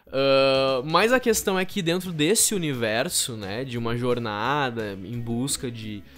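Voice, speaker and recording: A man at a medium pitch speaks with lively intonation. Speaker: theatre teacher and storyteller. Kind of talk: podcast interview. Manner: hesitant, many fillers.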